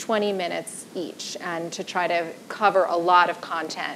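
The pace of this woman's speech is fairly slow. There is light background noise. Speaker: panel moderator. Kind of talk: event introduction. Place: stage. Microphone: lapel.

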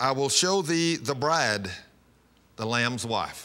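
The tone is bright and sharp. This man talks at a fairly slow pace. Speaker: pastor. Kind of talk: sermon. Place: studio. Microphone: lapel.

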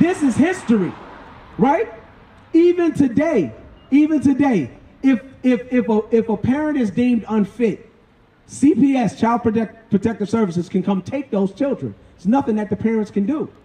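In a room with audible echo, a man speaks with an extremely high pitch and a dark, mellow tone. His intonation is lively, his pace moderate, and his pauses long and frequent. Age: 50s. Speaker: street preacher. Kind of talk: street preaching. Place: street.

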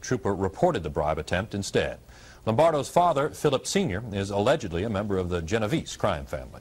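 Talking at a very fast pace, a man with a fairly low pitch sounds somewhat breathy and makes very wide pitch swings. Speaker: news anchor. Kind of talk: 1980s TV news report, scripted newsreading. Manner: formal, brisk, even-toned. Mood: serious, neutral. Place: studio. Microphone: lapel.

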